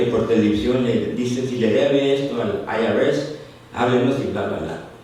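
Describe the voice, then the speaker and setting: A man speaks fairly slowly at a medium pitch with ordinary pitch variation. Noticeable background noise and audible room echo are present. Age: 60s. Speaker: lay preacher. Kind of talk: sermon. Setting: church. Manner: conversational, asks congregation questions.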